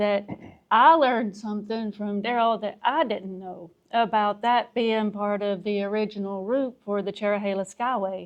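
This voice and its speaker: In an Appalachian accent, a woman speaks at a medium pitch with fairly even intonation. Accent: Southern US (Appalachian). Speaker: podcast co-host. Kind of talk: casual chat. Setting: outdoor pavilion with wooden roof. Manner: slow.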